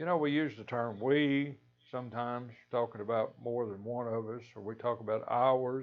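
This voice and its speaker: A man with a Kentucky accent talks at medium pitch. His pace is fairly slow, with ordinary pitch variation. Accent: US Southern, Kentucky. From western Kentucky. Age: 70s. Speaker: lay preacher. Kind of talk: devotional talk. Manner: halting, repeats words.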